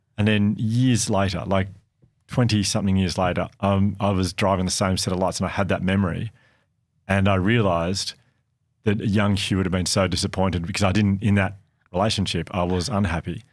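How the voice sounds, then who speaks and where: A man speaks at a fairly quick pace and fairly low pitch, with fairly even intonation. His loudness stays very even, and the recording is very clean with a silent background. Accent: Australian. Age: 40s. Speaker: podcast host. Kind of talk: casual chat.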